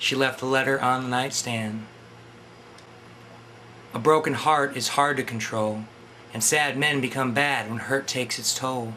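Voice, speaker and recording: Noticeable background noise sits behind a man of medium pitch. He speaks fairly slowly with fairly even intonation and long, frequent pauses. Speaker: poet reading his own poem. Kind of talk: poetry reading.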